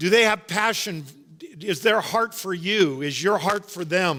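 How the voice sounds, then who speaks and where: Loud and bright, a man's high-pitched voice moves at a very slow pace with a sharp tone and lively intonation. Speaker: pastor. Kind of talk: sermon. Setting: church.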